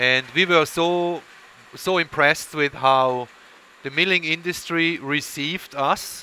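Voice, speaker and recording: This man has a Swiss accent and a fairly high pitch. He talks at a fairly slow pace with fairly even intonation. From Switzerland. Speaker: milling technology executive. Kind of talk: interview. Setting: coffee shop.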